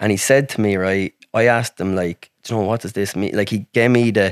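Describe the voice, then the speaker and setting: A man speaks with a rural Irish accent at a fairly low pitch. His intonation stays fairly even, and the sound is dry and close with no echo. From Ireland, rural. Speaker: accident survivor, wheelchair user. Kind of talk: casual chat.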